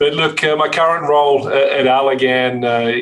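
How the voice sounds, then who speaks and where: Over noticeable background noise, a man with a strong Australian accent talks at a fairly quick pace with fairly even intonation. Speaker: pharmaceutical marketing executive. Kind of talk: interview. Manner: hesitant, many fillers.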